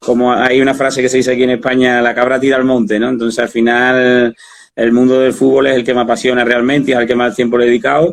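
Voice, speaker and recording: A man with an Andalusian accent talks at a very fast pace. His intonation is monotone and flat, and his loudness stays very even. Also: medium pitch for a man. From Spain, Andalusia. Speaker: football coach. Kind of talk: interview. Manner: halting.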